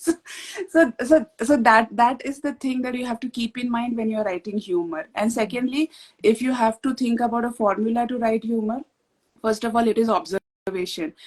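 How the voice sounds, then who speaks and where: With an Indian accent, a woman at a fairly high pitch speaks at a moderate pace with ordinary pitch variation, in a dry, close sound with no echo. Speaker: author. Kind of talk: casual chat.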